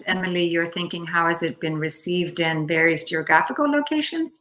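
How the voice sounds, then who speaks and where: A woman with a Finnish accent and lively intonation. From Denmark. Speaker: poet. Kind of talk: Q&A discussion. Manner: halting.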